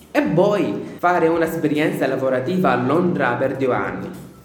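Fairly slow speech from a man, plus noticeable background noise and audible echo from the room. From Syria. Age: 20s. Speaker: student radio host. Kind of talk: scripted introduction and interview.

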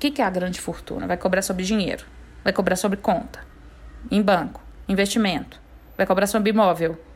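Animated in tone, a woman at medium pitch talks at a fairly quick pace with vocal fry, ordinary pitch variation, and long, frequent pauses. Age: 30s. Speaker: podcast host, tax specialist. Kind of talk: casual explainer monologue.

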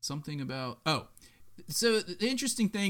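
On a very clean recording with a silent background, a man speaks loudly at a moderate pace with very wide pitch swings. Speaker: sports podcast co-host. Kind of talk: casual chat. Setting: live streamed podcast.

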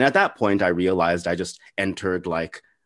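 The speaker talks at a fairly quick pace with an American accent against a quiet background. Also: man. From El Paso, far west Texas. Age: 20s. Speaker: podcast interviewer. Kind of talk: casual interview chat. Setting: video call.

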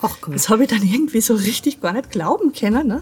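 The voice is somewhat breathy, with an Austrian accent. Its pitch swings very widely. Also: woman. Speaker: patient advocate, skin cancer survivor. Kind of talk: interview.

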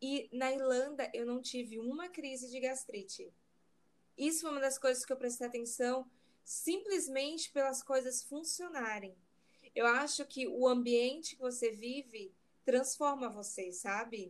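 A woman speaks at a fairly slow pace in a high voice. Her pitch rises and falls in an ordinary way. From Brazil. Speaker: digital marketing consultant. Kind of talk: casual interview chat.

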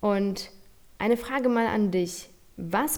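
A woman with a Polish accent speaks in a dark, mellow tone. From Poland. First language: Polish (speaking German). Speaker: podcast host and nutrition coach. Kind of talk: motivational monologue. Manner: animated.

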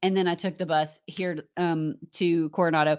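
A woman with a fairly low pitch and a Southern US accent, on a very clean recording with a silent background. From US South. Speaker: co-presenter sharing theme park travel tips. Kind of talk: casual chat.

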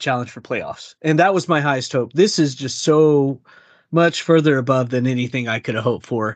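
A man's fairly high voice at a moderate pace, with ordinary pitch variation, big swings in loudness and a quiet background. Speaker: soccer podcast co-host. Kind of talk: casual chat. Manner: halting, many fillers.

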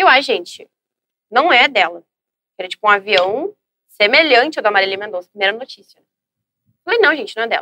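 Fairly quick yet broken by long, frequent pauses, a woman's fairly high, bright, sharp voice makes very wide pitch swings in a dry, close sound with no echo. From Brazil, Rio Grande do Sul (São Leopoldo). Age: 20s. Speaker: social media influencer. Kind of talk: casual interview. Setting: studio.

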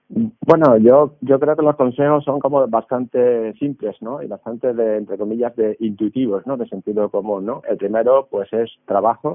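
This man speaks at a moderate pace with hardly any pauses. His pitch sits in the medium range, with ordinary pitch variation. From Seville, Andalusia, Spain. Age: 50s. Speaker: doctor and biotech entrepreneur. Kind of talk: interview. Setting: video call. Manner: halting, many hesitations.

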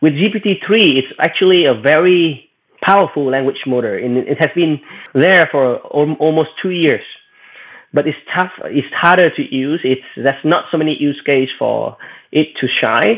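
Speaking at a moderate pace with a Vietnamese accent, a man uses a fairly high pitch and ordinary pitch variation. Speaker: AI executive and researcher. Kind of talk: panel discussion. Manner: halting.

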